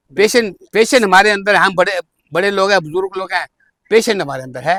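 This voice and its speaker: A man's raised, projected voice, high-pitched with a bright, sharp tone, at a moderate pace in a dry, close sound with no echo. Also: ordinary pitch variation. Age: 80s. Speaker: bookstore owner. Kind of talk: casual interview answer.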